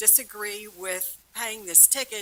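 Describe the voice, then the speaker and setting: Speaking at a moderate pace, a woman uses a bright, sharp tone at medium pitch with monotone, flat intonation. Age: 70s. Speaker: resident giving public comment. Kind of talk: public comment at council meeting. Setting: city council chamber.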